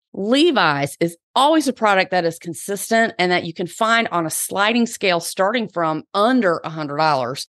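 A woman speaks at a moderate pace in a Southern US accent, her medium pitch leaping through very wide swings with hardly any pauses. The tone is animated and upbeat, and the sound is dry and close with no echo over a quiet background. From US South. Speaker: podcast host and personal stylist. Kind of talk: casual solo podcast monologue. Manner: animated, upbeat, chatty.

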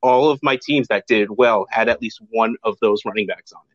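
A man with an ordinary speaking voice, moderate pace, and fairly even intonation. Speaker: fantasy football podcast host. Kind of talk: casual chat. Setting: video call.

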